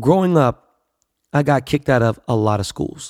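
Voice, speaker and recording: A man with a Los Angeles accent and an animated tone. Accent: Los Angeles American English. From Los Angeles, US. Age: 40s. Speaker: podcast host. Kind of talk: casual monologue, profane. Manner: animated, brash.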